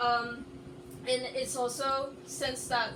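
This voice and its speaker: Noticeable background noise is present. A woman speaks with audible echo from the room. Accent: American. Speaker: anime video essayist. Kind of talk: casual video presentation. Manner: loud; halting, many fillers.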